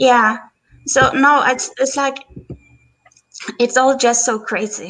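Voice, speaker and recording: At a very slow pace, a woman speaks in a high pitch with ordinary pitch variation. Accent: non-native. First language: not English. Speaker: viewer joining a live stream. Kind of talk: casual chat. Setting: live stream call from computer. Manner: halting. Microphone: echo, feedback.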